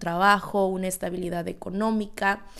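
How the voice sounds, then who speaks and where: Speaking at a fairly slow pace, a woman has medium pitch and an unremarkable speaking voice. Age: 20s. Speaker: podcast host. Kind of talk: casual monologue.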